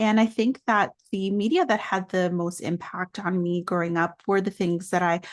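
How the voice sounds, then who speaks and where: A woman's ordinary speaking voice with an American accent, medium pitch, fairly even intonation and moderate pace, over a quiet background. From New York City, Dominican family. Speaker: children's book author. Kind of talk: interview.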